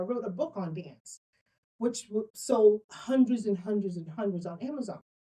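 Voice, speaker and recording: A woman with a Bahamian accent, medium pitch, a dark, mellow and somewhat breathy tone, and lively intonation. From Bahamas. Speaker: author and business coach. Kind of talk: interview. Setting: room at a co-op venue. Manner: animated.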